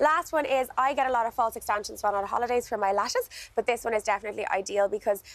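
A woman with an Irish accent speaks at a fairly high pitch with ordinary pitch variation, the sound dry with no echo. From Ireland. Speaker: skincare expert; guest. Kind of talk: product demonstration. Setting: TV studio. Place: garden. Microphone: lapel.

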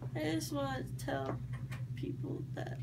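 Loud noise fills the background. Over it, a woman talks fairly slowly. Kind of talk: casual rambling chat. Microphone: phone near.

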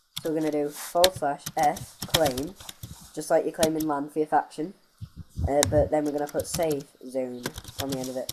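Noticeable background noise runs under speech at a fairly quick pace. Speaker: game tutorial maker. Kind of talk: casual game tutorial. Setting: laptop mic. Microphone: webcam.

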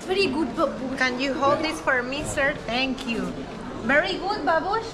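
A woman speaks at a fairly slow pace with a Spanish accent. Loud background noise runs behind her. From Venezuela. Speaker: travel vlogger. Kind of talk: travel vlog narration. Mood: curious, cheerful. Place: market. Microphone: phone near.

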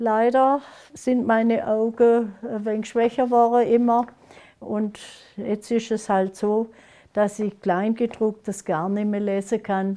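A woman with a Lake Constance accent speaks at a very slow pace in a dark, mellow tone with monotone, flat intonation. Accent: Lake Constance Alemannic German dialect. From Germany, Konstanz on Lake Constance; Germany. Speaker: dialect author; dialect poet. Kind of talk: dialect poetry reading. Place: home room. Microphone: lapel.

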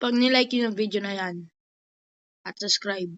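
A woman's voice at a moderate pace. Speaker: gaming vlogger. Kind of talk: gameplay commentary. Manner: animated.

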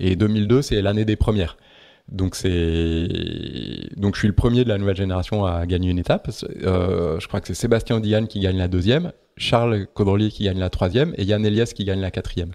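A man's fairly low-pitched voice, dark and mellow in tone, with ordinary pitch variation at a moderate pace. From Paris, France. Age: 40s. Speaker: sailor and naval architect. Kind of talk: interview. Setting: at his home by the sea. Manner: calm, not loud.

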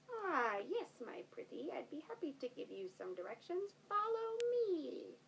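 A woman's cartoonish character voice, extremely high in pitch, at a moderate pace. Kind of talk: children's story puppet play. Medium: puppet show. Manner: sly, falsely sweet, cackling "my pretty".

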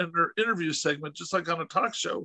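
A raised, projected voice with a bright, sharp tone, dry with no echo, over a quiet background. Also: man. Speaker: podcast host interviewer. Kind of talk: casual interview storytelling. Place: home room. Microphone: video call.

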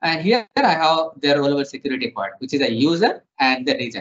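With ordinary pitch variation and a moderate pace, a man talks against a quiet background. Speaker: software trainer. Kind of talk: tutorial.

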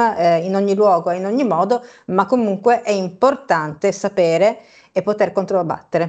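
Medium-pitched female speech against a quiet background. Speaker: co-host commentator. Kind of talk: news commentary. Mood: ironic, opinionated. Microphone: video call.

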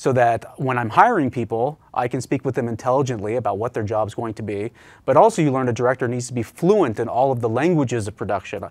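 In a Midwestern American accent, a man speaks at a very fast pace with hardly any pauses. His medium pitch varies in an ordinary way against a quiet background. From Indiana (Richmond); Indiana. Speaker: business owner; guest. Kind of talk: interview. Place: studio. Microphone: lapel.

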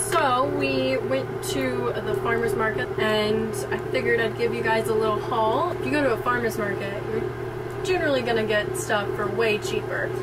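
A woman talks at a moderate pace. Loud noise fills the background. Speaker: vlogger. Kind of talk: casual vlog chat. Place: boat. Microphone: camera far.

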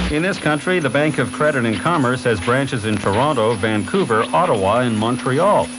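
Noticeable background noise runs under the speech. The intonation is lively, with hardly any pauses. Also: man. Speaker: radio newscaster. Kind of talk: radio news bulletin read. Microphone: old recording.

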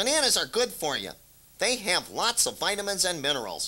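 At a middle pitch, a put-on character voice rattles along at a fairly quick pace. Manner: friendly, matter-of-fact.

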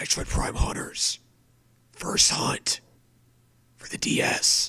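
A man whispers over noticeable background noise. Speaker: gaming streamer. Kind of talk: casual live stream chat. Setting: home, late night live stream. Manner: whispering, awkward.

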